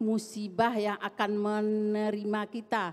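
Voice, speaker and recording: Over a silent background in a very clean recording, a woman speaks at a very slow pace. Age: 70s. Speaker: audience member asking a question. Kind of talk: question from audience.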